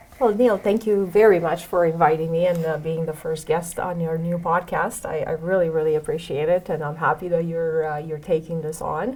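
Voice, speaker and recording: Speaking fairly quickly with hardly any pauses, a woman uses a fairly low pitch and fairly even intonation over noticeable background noise. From Romania. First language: Romanian. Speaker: head of security. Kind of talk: interview. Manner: halting, many fillers.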